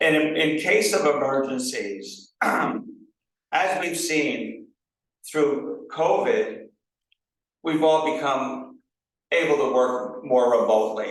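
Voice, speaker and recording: A man with a fairly high pitch and vocal fry, lively intonation, a very slow pace and audible room echo. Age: 60s. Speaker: political candidate. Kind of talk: candidate forum answer. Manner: halting, many fillers.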